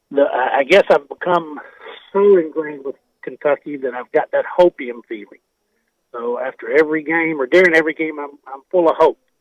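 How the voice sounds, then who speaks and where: A man with a fairly high pitch and ordinary pitch variation talks at a fairly quick pace with big swings in loudness, in a dry, close sound with no echo. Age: 60s. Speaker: caller. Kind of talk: casual chat. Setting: phone call. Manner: halting.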